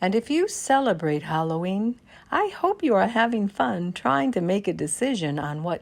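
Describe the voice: What you hear is plain reading aloud.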